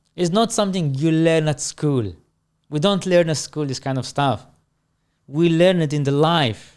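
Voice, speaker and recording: Recorded very cleanly with a silent background, a man with a non-native accent speaks at a moderate pace in a fairly high pitch with ordinary pitch variation. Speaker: manager. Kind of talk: casual interview chat.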